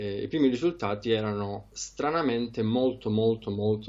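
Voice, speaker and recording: Over a quiet background, a man with a plain, everyday voice speaks at a moderate pace, his fairly low pitch showing ordinary variation. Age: 20s. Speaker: trader; interviewee. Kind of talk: interview. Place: home room. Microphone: headset.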